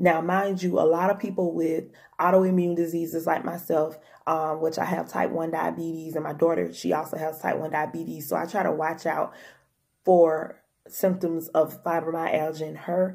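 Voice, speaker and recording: A woman's fairly low voice in a monotone, flat intonation with music in the background. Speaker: health vlogger. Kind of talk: casual vlog talk. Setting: home. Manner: fast.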